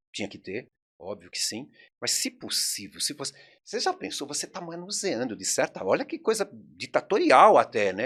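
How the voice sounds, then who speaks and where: There is vocal fry in this man's voice. His pitch swings very widely. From São Paulo, Brazil (Mooca). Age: 70s. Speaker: video rental store owner. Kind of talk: interview conversation. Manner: animated.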